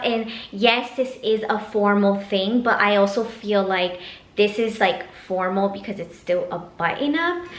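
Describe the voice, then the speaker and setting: A woman's voice with lively intonation, audible room echo and noticeable background noise. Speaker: vlogger, master's student. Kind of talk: casual vlog talk to camera. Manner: casual, filler-heavy.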